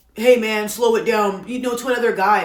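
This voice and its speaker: Noticeable background noise and audible room echo surround a woman who speaks at a fairly quick pace in a fairly high pitch. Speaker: commentary content creator. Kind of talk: casual opinion rant to camera. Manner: loud, passionate.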